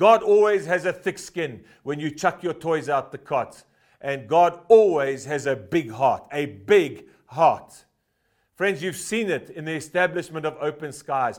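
An ordinary speaking voice from a man, at a fairly high pitch with ordinary pitch variation, in a very clean recording with a silent background. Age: 50s. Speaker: preacher. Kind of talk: sermon. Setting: church.

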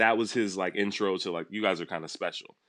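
Here is a man with an American accent and fairly low pitch, a plain, everyday voice. The background is quiet. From Los Angeles. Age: 30s. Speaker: massage therapist. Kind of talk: casual interview.

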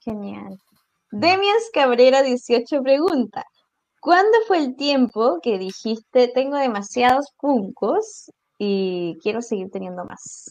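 A woman speaks at a high pitch and a very slow pace. Her pitch swings very widely, and her loudness swings a lot. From southern Chile. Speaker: podcast co-host. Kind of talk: casual chat.

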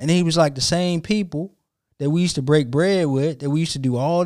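Recorded very cleanly against a silent background, a man with an American accent has an unremarkable speaking voice, a moderate pace and ordinary pitch variation. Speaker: podcast host. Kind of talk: casual banter between co-hosts.

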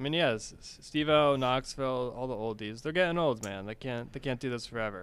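A man with an American accent talks at a fairly quick pace in an ordinary speaking voice, his medium pitch showing ordinary pitch variation. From Connecticut. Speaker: movie podcast co-host. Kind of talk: casual chat.

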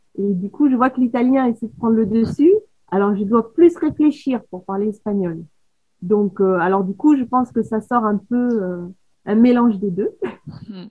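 A woman talks at a fairly slow pace in a somewhat breathy, fairly high voice with ordinary pitch variation. Her loudness swings a lot. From Paris, France. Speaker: photographer. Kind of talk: casual chat. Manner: sing-song southern intonation.

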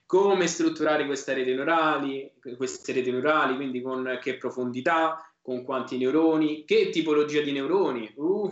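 A man speaks in a plain, everyday voice at a moderate pace. His pitch is fairly high, his intonation fairly even. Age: 20s. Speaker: software engineer and tech executive. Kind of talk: casual chat.

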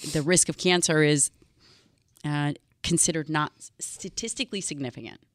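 Here is a woman with an unremarkable speaking voice, fairly low in pitch, with fairly even intonation. The recording is very clean, with a silent background. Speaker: doctor and nutrition expert. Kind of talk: casual chat. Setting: studio.

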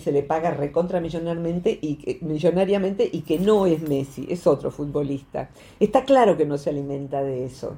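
A woman's dark, mellow tone at a moderate pace. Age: 60s. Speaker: psychologist. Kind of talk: radio talk segment explaining psychology.

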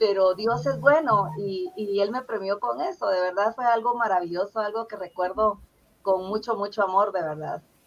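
Pitch varies in an ordinary way as an unremarkable speaking voice proceeds at a moderate pace. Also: woman, medium pitch for a woman. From Guatemala (Zacapa, south coast). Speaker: poet and teacher. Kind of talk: interview.

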